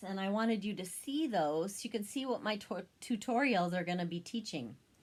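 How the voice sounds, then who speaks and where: Her voice is somewhat breathy, with a medium pitch. The woman uses ordinary pitch variation. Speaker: craft demonstrator. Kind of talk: tutorial.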